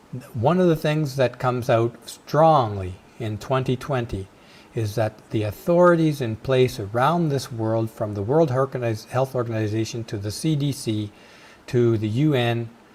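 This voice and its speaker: A man's somewhat breathy voice at medium pitch, moderate pace and ordinary pitch variation. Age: 60s. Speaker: video podcast host. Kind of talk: casual monologue.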